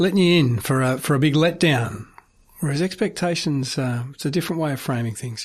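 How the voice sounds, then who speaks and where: A man with an Australian accent, a fairly high pitch, lively intonation, a moderate pace, and a somewhat breathy voice, over a quiet background. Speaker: radio host. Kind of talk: radio presenting. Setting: studio.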